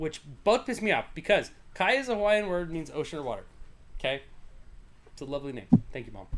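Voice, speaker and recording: Mumbling at a very fast pace with long, frequent pauses, a man with an American accent speaks in a high pitch, with very wide pitch swings and big swings in loudness. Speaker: podcast host. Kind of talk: casual chat. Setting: livestream.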